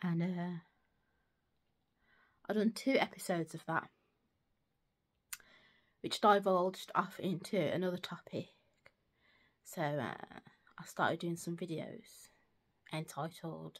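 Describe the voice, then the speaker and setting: With a British accent, a woman talks at a fairly slow pace with ordinary pitch variation and long, frequent pauses. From United Kingdom. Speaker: secondary school teacher. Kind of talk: casual talk to camera. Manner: hesitant, thinking aloud.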